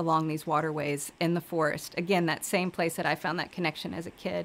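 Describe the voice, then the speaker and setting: A woman with an American accent and an unremarkable speaking voice, fairly low in pitch, at a moderate pace in a very clean recording with a silent background. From Virginia, USA. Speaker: river restoration director and ecotherapist. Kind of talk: interview answer.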